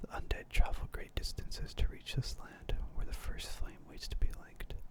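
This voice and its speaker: A whispering man at a moderate pace, with big swings in loudness and noticeable background noise. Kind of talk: whispered lore reading for sleep / ASMR.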